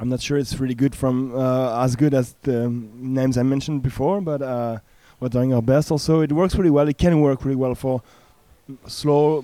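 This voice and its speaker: A man speaks at a medium pitch and a moderate pace in a French accent. His tone is dark and mellow. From France. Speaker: punk band member. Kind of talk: casual interview. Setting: music festival.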